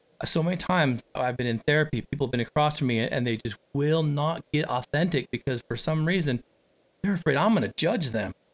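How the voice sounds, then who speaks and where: A man's ordinary speaking voice, fairly high in pitch, at a fairly quick pace with ordinary pitch variation. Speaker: podcast host and recovery coach. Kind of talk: podcast interview.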